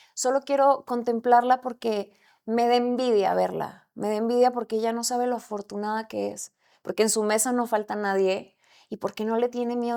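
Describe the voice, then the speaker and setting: The tone is dark and mellow, delivered in a monotone, flat way at a moderate pace. The recording is very clean with a silent background. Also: woman. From Mexico, Camargo, Chihuahua. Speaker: actress. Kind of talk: casual chat.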